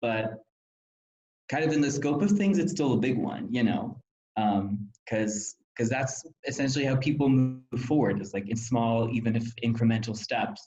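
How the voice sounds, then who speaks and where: At a moderate pace, a man speaks with medium pitch and ordinary pitch variation. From Germany. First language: German. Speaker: former volunteer counselor, student. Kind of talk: interview reflection.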